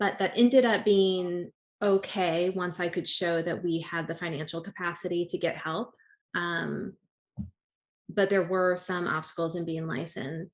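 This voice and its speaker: A woman with an ordinary speaking voice talks fairly slowly at a fairly low pitch with fairly even intonation against a quiet background. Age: 30s. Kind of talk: interview.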